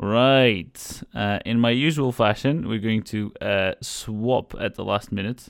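A man talks at a very slow pace with ordinary pitch variation. The recording is very clean, with a silent background. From Portugal. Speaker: radio host. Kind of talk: casual chat. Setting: studio. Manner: halting.

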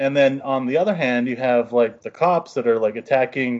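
A man's normal speaking voice at medium pitch, with an American accent. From rural western Pennsylvania. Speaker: podcast co-host. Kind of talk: casual chat.

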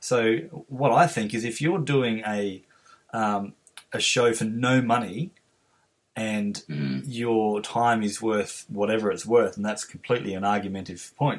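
Here a man talks with an Australian accent. His pace is fairly slow. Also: medium pitch for a man, ordinary pitch variation. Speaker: podcast host and musician. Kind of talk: interview. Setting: video call.

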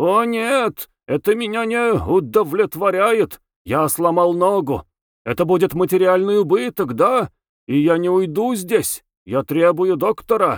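A man does a put-on character voice, growling at a high pitch with lively intonation and a moderate pace. The recording is very clean, with a silent background and a dry, close sound with no echo. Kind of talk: demanding. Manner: growling through clenched teeth, angry.

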